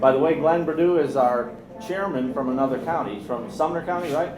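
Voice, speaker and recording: A man with an American accent talks at a fairly quick pace with ordinary pitch variation. There is audible room echo and noticeable background noise. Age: 60s. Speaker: meeting chair, political organizer. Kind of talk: meeting proceedings. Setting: meeting room with audience.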